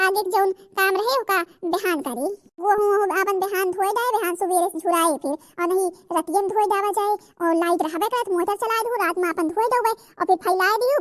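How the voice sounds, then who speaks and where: In a cartoonish character voice, a woman speaks at an extremely high pitch and a fairly quick pace, with ordinary pitch variation and a dry, close sound with no echo. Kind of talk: cartoon comedy. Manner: folksy, homely.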